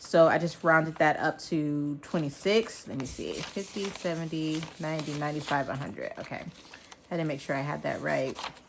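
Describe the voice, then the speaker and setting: Mumbling at a moderate pace, a woman with a very deep, low pitch keeps a fairly even intonation over noticeable background noise. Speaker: personal finance vlogger. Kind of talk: casual budgeting vlog. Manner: casual, filler-heavy.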